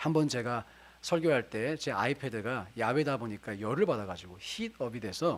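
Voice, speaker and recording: Lively in intonation, a man speaks in a normal speaking voice at medium pitch and a moderate pace. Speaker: pastor. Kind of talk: sermon.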